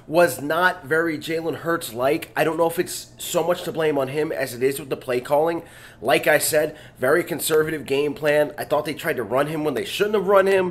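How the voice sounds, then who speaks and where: This man speaks at a moderate pace, his fairly high voice showing ordinary pitch variation. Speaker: sports podcast host. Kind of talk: casual commentary monologue. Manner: halting.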